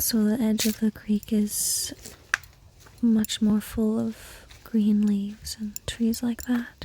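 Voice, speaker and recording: Very slow and soft-spoken, a woman talks in a calm tone at a fairly high pitch with flat, monotone intonation and long, frequent pauses, against noticeable background noise. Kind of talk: ASMR guided nature walk. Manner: calm, slow.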